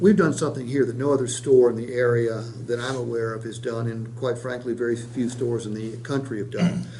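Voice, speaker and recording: Noticeable background noise and audible room echo surround the recording. A man speaks at medium pitch with fairly even intonation. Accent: American. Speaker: sales trainer. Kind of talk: sales training role-play. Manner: fast.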